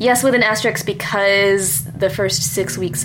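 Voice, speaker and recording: An American-accented woman speaks at a moderate pace. There is music in the background. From US Midwest (Michigan). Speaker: writer and adoption activist. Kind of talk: casual interview.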